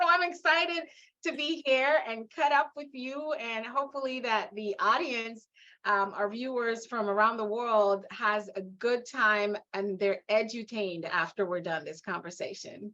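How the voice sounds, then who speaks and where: A woman with a Guyanese accent speaks fairly slowly in a fairly high pitch, with a bright, sharp tone, lively intonation and an animated tone. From Guyana, West Coast Demerara. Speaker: leadership and mindset coach. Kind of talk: interview.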